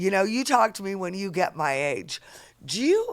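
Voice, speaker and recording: Moderate-paced speech from a woman at medium pitch, an unremarkable speaking voice. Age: 50s. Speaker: podcast host. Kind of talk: casual interview.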